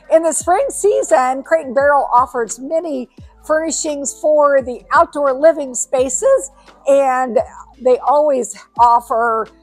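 With faint music in the background, a woman talks at a fairly slow pace in a high pitch with ordinary pitch variation. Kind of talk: promotional vlog walkthrough. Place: shop. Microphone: lapel.

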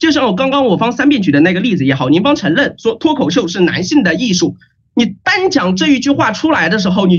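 A man speaks very fast in an animated tone against a quiet background. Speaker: university student debater; student debater, speaker. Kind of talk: competitive debate. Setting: video call. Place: home room. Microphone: webcam.

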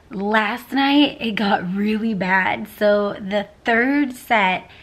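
Speaking at a slow pace, a woman has a fairly high pitch, a fairly bright tone and ordinary pitch variation.

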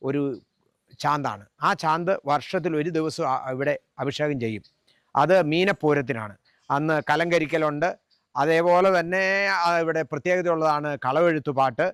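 A man's plain, everyday voice, fairly high in pitch with ordinary pitch variation, on a very clean recording against a silent background. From Kerala, Kottayam district (Amanakara, Ramapuram). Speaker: temple committee member and religious preacher. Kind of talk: on-location interview. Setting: outdoors at a temple.

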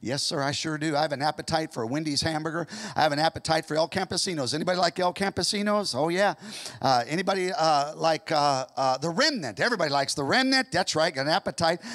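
Very fast speech with ordinary pitch variation over a quiet background. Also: man. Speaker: pastor. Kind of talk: sermon. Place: church. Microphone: handheld.

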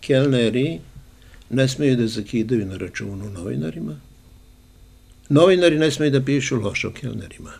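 A man talks at a fairly quick pace with very wide pitch swings. He leaves long, frequent pauses. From Serbia, Niš; Serbia. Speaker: journalist and former radio host; journalist, former radio host. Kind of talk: casual interview. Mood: warm, anecdotal storytelling. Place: home room. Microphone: handheld.

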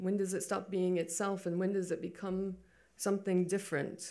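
A woman's very slow speech against a quiet background. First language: English (speaking Spanish). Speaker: photobook publisher and creative director; speaker. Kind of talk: lecture. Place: hall. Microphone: podium.

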